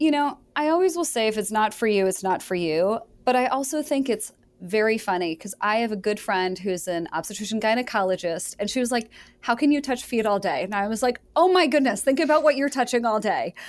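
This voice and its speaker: In an American accent, a woman with a normal speaking voice talks at a fairly quick pace, her fairly high pitch rising and falling in lively intonation, on a very clean recording with a silent background. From Michigan. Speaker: orthopedic surgeon. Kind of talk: interview.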